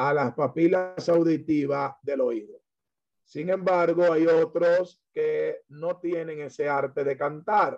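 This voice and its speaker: Speaking at a very slow pace, a man with a fairly high pitch keeps his intonation fairly even. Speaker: pastor and Bible teacher. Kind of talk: lecture.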